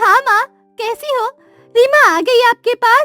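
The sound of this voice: A woman uses a cartoonish character voice at an extremely high pitch and a moderate pace. The sound is dry and close with no echo, with faint music in the background.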